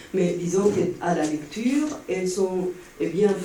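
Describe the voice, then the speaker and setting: In a Spanish accent, a man speaks very slowly at a high pitch with lively intonation. Noticeable background noise and audible room echo are present. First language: Spanish (speaking French). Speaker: audience member. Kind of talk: Q&A comment at a conference. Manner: halting, many hesitations.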